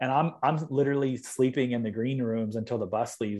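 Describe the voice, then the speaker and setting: With a Californian accent, a man talks at a fairly quick pace and medium pitch, his pitch varying in an ordinary way. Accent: Californian American. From Southern California, Long Beach. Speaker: dubstep DJ and producer. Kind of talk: casual interview. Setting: video call from home studio.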